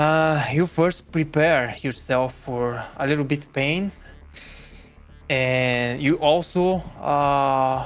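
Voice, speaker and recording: Someone with a non-native accent speaks at a very slow pace. Music plays in the background. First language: not English. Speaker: gaming community member. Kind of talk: casual chat. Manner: halting.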